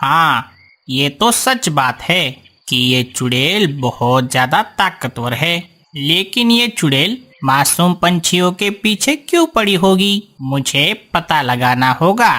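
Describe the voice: A cartoonish character voice at a middle pitch, delivered at a very slow pace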